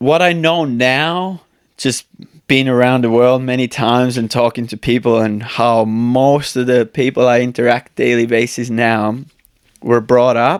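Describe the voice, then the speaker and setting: Speaking with an Estonian accent, a man keeps his intonation fairly even. His pitch is medium and his pace fairly slow. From Estonia, countryside. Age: 30s. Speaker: speed flyer and YouTube creator. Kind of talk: casual podcast interview.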